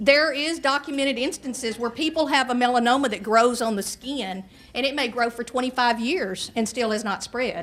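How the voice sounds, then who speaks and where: Her high-pitched voice, in a Southern US accent, moves at a fairly quick pace with ordinary pitch variation. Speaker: nurse practitioner and health educator. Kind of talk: public health talk to an audience. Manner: conversational, with asides and hesitations.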